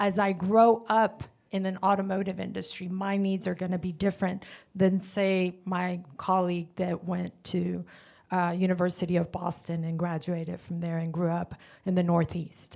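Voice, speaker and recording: In a very clean recording with a silent background, a woman with a Spanish accent talks at a moderate pace, medium in pitch and flat in intonation. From Honduras. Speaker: car dealership manager. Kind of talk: panel discussion. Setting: stage with audience.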